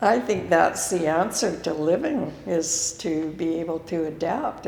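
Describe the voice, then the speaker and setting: Noticeable background noise and audible room echo surround a woman whose pitch sits fairly low. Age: 80s+. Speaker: interviewee in a documentary on aging. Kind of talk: documentary interview.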